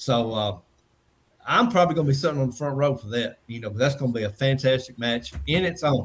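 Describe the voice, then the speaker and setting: A man with an American accent talks at a very fast pace in a somewhat breathy voice of medium pitch, with ordinary pitch variation. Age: 60s. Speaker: wrestling promoter. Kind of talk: casual chat. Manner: halting.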